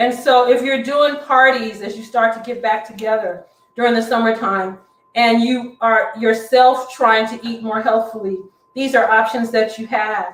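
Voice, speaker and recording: At a moderate pace, a woman with a fairly high pitch talks in an animated tone with big swings in loudness. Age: 60s. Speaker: cooking instructor. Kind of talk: cooking demonstration.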